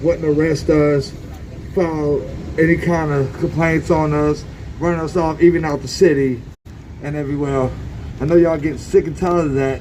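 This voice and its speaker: Noticeable background noise and audible room echo surround a man with a fairly high pitch. He talks at a fairly quick pace in a monotone, flat intonation, with long, frequent pauses. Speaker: homeless camp resident and protester. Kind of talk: protest speech. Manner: loud; impassioned.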